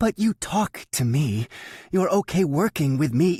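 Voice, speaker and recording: A man's put-on character voice, fairly high in pitch, with very wide pitch swings, very even loudness and a moderate pace, in a dry, close sound with no echo on a very clean recording with a silent background. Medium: read story. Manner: wry, teasing.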